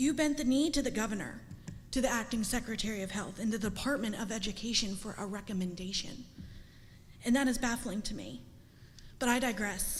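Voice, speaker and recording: A woman's fairly high, somewhat breathy voice at a fairly quick pace, with ordinary pitch variation, long, frequent pauses and audible room echo. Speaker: parent speaking at public comment. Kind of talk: public comment speech. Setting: school board meeting. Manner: emotional.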